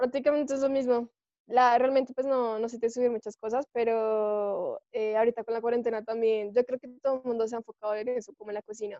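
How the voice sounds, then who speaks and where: A woman talks at a very fast pace and a fairly high pitch. Her intonation is monotone and flat, while her loudness swings widely. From Colombia. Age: 20s. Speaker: former exchange student. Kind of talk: casual chat. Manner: hesitant, many fillers.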